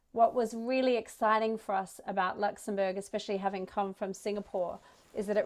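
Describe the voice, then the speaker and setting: In an Australian accent, a woman with a medium pitch speaks in a flat monotone. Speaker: startup ecosystem representative. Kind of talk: conference talk.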